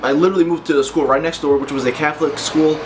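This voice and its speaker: A man talks at a very fast pace with fairly even intonation, noticeable background noise behind him. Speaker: fitness vlogger. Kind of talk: personal story vlog. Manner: halting.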